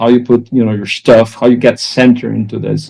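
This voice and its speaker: In a Portuguese accent, a man speaks at a medium pitch with fairly even intonation. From Brazil. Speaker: executive coach. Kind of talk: interview.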